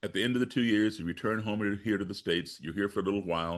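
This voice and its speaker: Very fast and fairly low, a man's voice carries an American accent. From grew up abroad and in the US (born Chicago). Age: 60s. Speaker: musician and race-relations activist. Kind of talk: podcast interview.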